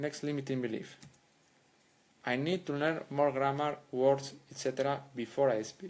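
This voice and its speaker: At a moderate pace, a man with a Spanish accent speaks at a medium pitch with ordinary pitch variation. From Spain. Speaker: language coach. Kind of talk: educational monologue. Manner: halting.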